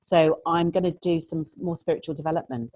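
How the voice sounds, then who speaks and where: Her tone is dark and mellow, and the woman keeps a moderate pace. The sound is dry and close, with no echo. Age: 60s. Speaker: therapist. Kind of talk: interview.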